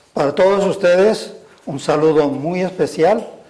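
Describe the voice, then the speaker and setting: A man's dark, mellow tone at a fairly slow pace, with fairly even intonation. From Spain, Castile (Burgos). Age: 80s+. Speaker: retired religious brother and school director. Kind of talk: personal testimony. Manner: halting.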